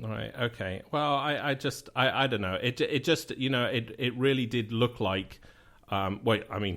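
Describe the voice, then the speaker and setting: A man is speaking. He has a British accent. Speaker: radio show host. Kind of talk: phone call. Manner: halting, hesitant.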